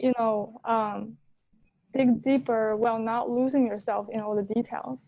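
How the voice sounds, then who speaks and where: Speaking at a fairly slow pace with a non-native accent, a woman has a fairly high pitch, a dark, mellow tone and fairly even intonation. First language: not English. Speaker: LSAT student in coaching session. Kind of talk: casual chat. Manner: hesitant, many fillers.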